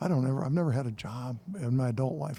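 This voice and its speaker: Somewhat breathy and dark, mellow in tone, the speaker talks very fast in an American accent with ordinary pitch variation. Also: man. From Michigan, US Midwest. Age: 70s. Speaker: retired nonprofit CEO and college co-president. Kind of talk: podcast interview. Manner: casual, halting with many repetitions.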